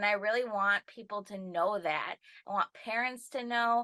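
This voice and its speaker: Against a quiet background, a woman with an Upper Midwest accent speaks in a bright, sharp tone at a moderate pace, fairly high in pitch and fairly even in intonation, with a dry, close sound and no echo. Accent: Upper Midwest American. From northern Wisconsin. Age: 20s. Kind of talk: personal testimony. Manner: halting with fillers.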